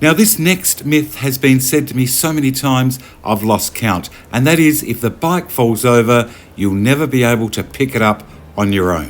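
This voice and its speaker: With an Australian accent, a man at medium pitch speaks at a moderate pace with lively intonation. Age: 60s. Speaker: motorcycle vlogger. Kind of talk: casual vlog talk.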